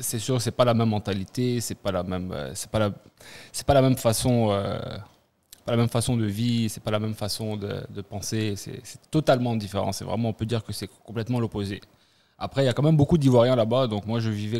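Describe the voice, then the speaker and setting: The voice has a dark, mellow tone and an Ivorian accent. It moves at a fairly quick pace with fairly even intonation and big swings in loudness. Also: man, medium pitch for a man. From Ivory Coast, Abidjan. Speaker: returnee from abroad. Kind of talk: casual chat. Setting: studio.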